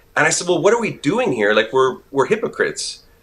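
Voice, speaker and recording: A man's pitch swings very widely as he talks at a fairly quick pace against noticeable background noise. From Quebec, Montreal. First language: French. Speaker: actor. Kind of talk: interview. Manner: casual, many filler words.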